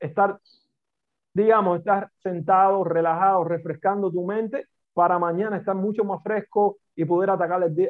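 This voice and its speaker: A man speaks with a Cuban accent at a moderate pace. His pitch is high and his intonation fairly even. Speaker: business coach and consultant. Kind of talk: interview conversation.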